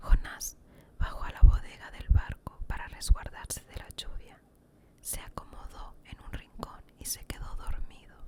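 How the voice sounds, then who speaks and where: A woman whispering in a calm tone, with big swings in loudness and noticeable background noise. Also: fairly slow pace. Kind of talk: ASMR Bible story narration. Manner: relaxing, calm.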